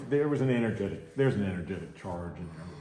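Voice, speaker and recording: With audible room echo, a man speaks at a very fast pace in a dark, mellow tone that is somewhat breathy, his intonation lively. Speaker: massage therapist. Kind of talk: live demonstration with commentary. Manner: casual.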